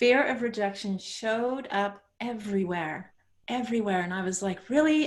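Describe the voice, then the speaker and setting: With a Dutch accent, a woman speaks at a moderate pace in a medium pitch. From Netherlands, moved to Canada at thirteen. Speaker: author and coach. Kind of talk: interview.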